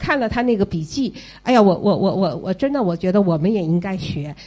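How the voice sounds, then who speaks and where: The tone is dark and mellow. Intonation stays lively throughout. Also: woman. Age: 50s. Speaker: retired parent of child in US. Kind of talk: audience talk at listener meetup.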